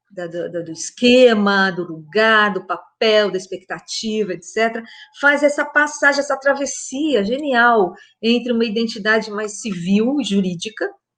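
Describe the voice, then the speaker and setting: A woman with a plain, everyday voice speaks at a fairly slow pace. Her loudness swings widely. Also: fairly high pitch for a woman, lively intonation. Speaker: literature professor. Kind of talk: lecture-style talk in a conversation.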